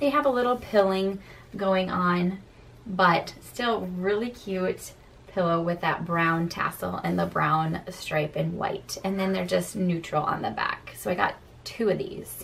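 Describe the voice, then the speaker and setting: A woman speaks at a fairly slow pace with ordinary pitch variation. Light background noise can be heard. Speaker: home decor vlogger. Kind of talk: casual vlog chat. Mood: cheerful, upbeat. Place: home room. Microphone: phone near.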